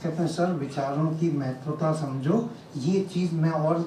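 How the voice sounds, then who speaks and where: A man's fairly high voice with ordinary pitch variation, amid audible room echo and noticeable background noise. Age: 60s. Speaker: retired army officer and motivational speaker. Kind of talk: public talk.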